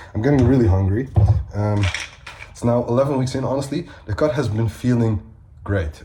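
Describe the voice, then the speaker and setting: Lively intonation at a moderate pace, with a Dutch accent and noticeable background noise. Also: man. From Netherlands. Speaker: bodybuilder and fitness coach. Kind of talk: vlog. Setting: at home.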